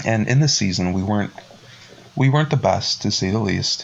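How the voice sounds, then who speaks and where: The speaker is a man with a fairly low pitch, talking at a moderate pace. Noticeable background noise runs behind him. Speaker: podcast host. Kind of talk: casual chat. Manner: halting.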